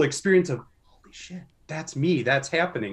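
The man's voice is somewhat breathy and keeps a moderate pace. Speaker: podcast host. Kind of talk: interview.

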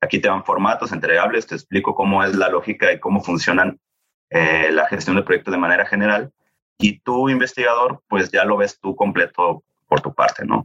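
The man speaks at a moderate pace, his sound dry and close with no echo. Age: 30s. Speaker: project management office coordinator. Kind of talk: interview.

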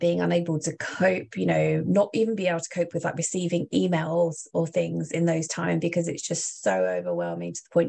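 A woman with a southeast English accent at a moderate pace, against a quiet background. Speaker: advocacy organization representative. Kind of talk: casual interview.

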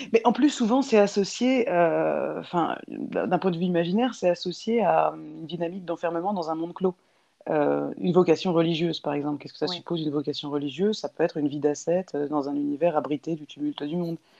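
Talking at a fairly quick pace, a woman uses a fairly low pitch. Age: 30s. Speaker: interviewee, sociologist. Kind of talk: interview. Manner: halting.

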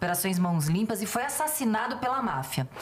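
Noticeable background noise and audible room echo fill the recording. Through them, a woman talks with lively intonation. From Rio de Janeiro state, Niterói. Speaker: police chief and union president. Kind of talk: casual chat.

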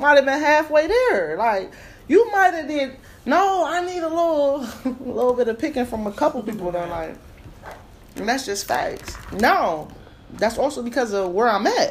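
A woman speaks in an animated tone, her high pitch making very wide swings. There is noticeable background noise behind her. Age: 30s. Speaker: podcast host. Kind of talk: casual chat.

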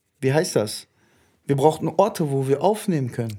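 A man of medium pitch talks in a dark, mellow tone. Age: 20s. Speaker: podcast host. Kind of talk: casual chat. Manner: animated.

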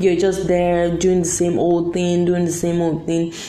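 Audible room echo and noticeable background noise accompany a woman speaking at a moderate speed. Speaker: podcast host. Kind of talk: solo motivational talk. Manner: casual, filler-heavy.

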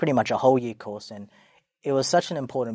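With an Australian accent, a man talks using ordinary pitch variation. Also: quiet background. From Australia, Sydney. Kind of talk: casual interview. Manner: halting.

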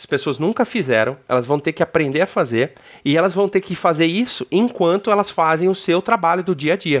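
A man's high voice with lively intonation at a fairly quick pace, dry and close with no echo, over a quiet background. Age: 30s. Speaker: business executive. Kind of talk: interview. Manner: casual.

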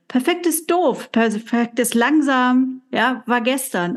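Her voice high and her intonation lively, a woman speaks. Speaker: coaching podcast co-host. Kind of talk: casual chat.

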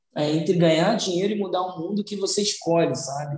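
His intonation is fairly even. The man's voice is high-pitched. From Brazil, São Gonçalo, Rio de Janeiro. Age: 30s. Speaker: social entrepreneur. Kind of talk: interview. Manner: halting, with repetitions.

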